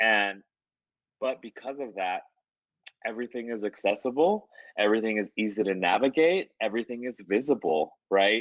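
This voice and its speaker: With an American accent, a man talks at a moderate pace using ordinary pitch variation. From Las Vegas, US, Guatemalan and Mexican American family. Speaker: artist. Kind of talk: interview. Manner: casual, many fillers.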